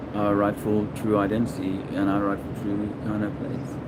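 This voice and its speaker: Audible room echo and noticeable background noise surround a man speaking at a fairly low pitch. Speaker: video blogger. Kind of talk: casual monologue. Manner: halting; soft-spoken.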